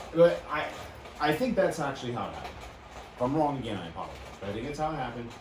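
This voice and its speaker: Through audible room echo and noticeable background noise, a man speaks at a very fast pace with ordinary pitch variation. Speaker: wrestling podcast host. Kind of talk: casual chat. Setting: studio. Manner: loud.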